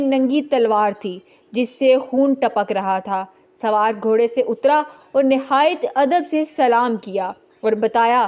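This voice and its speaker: A woman with a high pitch and ordinary pitch variation talks over a quiet background. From Pakistan. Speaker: voice-over artist. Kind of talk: religious story narration.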